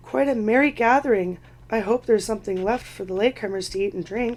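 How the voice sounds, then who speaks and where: Putting on a raspy character voice, a woman talks very fast at a fairly high pitch. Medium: read story. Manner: jovial, teasing.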